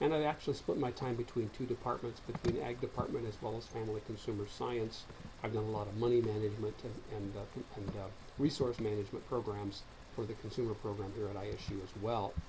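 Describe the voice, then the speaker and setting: This man speaks very fast with fairly even intonation and a fairly low pitch. Noticeable background noise and audible room echo fill the recording. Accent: American. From US Midwest, central Illinois. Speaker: college lecturer. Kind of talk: recorded online course lecture.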